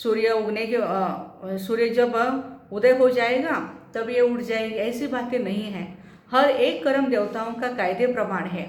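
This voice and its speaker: Someone with a Marathi accent speaks with ordinary pitch variation amid noticeable background noise and audible room echo. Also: woman, fairly high pitch for a woman. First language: Marathi (speaking Hindi). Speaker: spiritual teacher. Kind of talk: spiritual talk.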